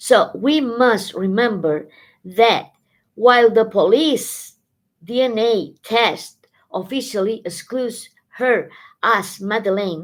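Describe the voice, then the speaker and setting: Recorded very cleanly against a silent background, a woman with a Spanish accent talks at a very slow pace with ordinary pitch variation. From Spain. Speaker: tarot reader. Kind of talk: live stream tarot reading. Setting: live stream. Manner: halting, self-correcting.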